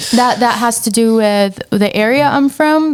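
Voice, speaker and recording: Speaking at a fairly slow pace with an Arabic accent, a woman uses ordinary pitch variation. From Syria. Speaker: entrepreneur. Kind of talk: casual chat.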